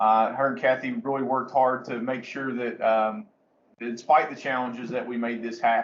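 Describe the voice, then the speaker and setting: At a moderate pace and medium pitch, a man talks with ordinary pitch variation. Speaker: behavior support trainer. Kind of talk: webinar presentation.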